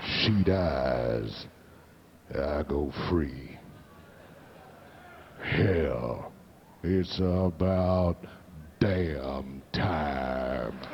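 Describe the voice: Using a put-on character voice, a man speaks very slowly in a very deep, low pitch with ordinary pitch variation, long and frequent pauses, and clear background noise.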